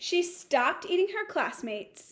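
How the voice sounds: A woman at an extremely high pitch, with big pitch swings and a slow pace.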